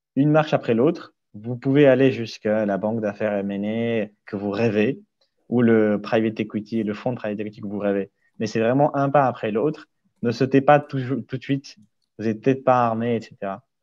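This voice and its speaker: A man speaks at a fairly quick pace against a quiet background. His medium-pitched voice has a dark, mellow tone and fairly even intonation. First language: not French (speaking French). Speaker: investment banking analyst. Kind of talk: webinar interview Q&A.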